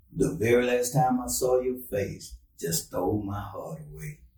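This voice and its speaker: Speaking with an American accent at a moderate pace, a man has a fairly low pitch and a dark, mellow, somewhat breathy tone. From Texas, Brenham. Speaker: poet and author. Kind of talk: reading aloud poetry.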